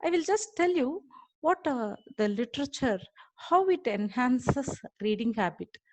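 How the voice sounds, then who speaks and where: The sound is dry and close with no echo as a woman with a Tamil accent speaks at a moderate pace. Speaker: college lecturer and webinar speaker. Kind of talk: webinar talk. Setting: online webinar. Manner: halting, many fillers.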